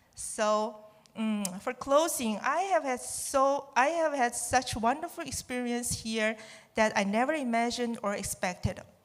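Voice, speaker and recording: Speaking with a Chinese accent, a woman uses a high pitch with ordinary pitch variation at a fairly slow pace. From China. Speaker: student. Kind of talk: testimony. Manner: halting.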